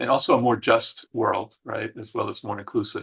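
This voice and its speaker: A man speaking at a moderate pace against a quiet background. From Argentina, then Queens New York and Puerto Rico. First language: Spanish. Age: 60s. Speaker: psychologist and inclusion consultant. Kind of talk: interview. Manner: many fillers (um, uh).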